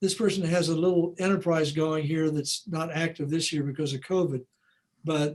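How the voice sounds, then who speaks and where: A man's high-pitched voice at a moderate pace, with fairly even intonation over a quiet background. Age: 70s. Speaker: financial advisor presenter; presenter. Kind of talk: library workshop Q&A. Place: home room.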